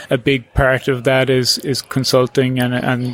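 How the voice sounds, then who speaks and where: With noticeable background noise behind him, a man with an Irish accent speaks in a monotone, flat intonation at a medium pitch. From Ireland, Cork. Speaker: coastal engineer. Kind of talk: interview. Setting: at a workshop. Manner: halting, many fillers and restarts.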